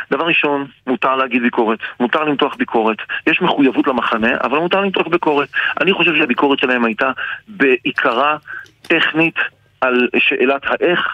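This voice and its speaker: Noticeable background noise surrounds a man whose pitch is fairly high, with ordinary pitch variation. He leaves long, frequent pauses. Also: moderate pace, very even loudness. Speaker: politician. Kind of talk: radio interview.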